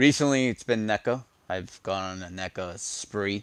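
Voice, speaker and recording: With an animated tone and ordinary pitch variation, a man talks in a fairly low pitch on a very clean recording with a silent background. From New York. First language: Spanish. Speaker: toy collector streamer. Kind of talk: casual live stream chat.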